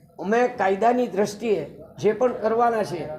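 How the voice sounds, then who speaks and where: This man's voice sits high in pitch with ordinary pitch variation, and room echo is audible. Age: 70s. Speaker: complainant. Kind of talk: press conference statement. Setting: press conference.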